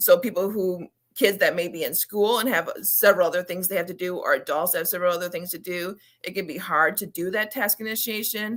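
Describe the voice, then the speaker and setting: A woman talks loudly at a fairly quick pace, medium in pitch with ordinary pitch variation. The recording is very clean, with a silent background. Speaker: children's book author and ADHD advocate. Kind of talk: interview.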